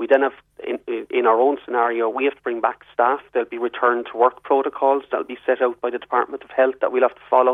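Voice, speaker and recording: In a southwest Irish accent, a man speaks at a very fast pace in a medium pitch. His intonation is monotone and flat, while his loudness swings widely. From Ireland, southwest. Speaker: publicans' representative. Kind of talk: radio interview.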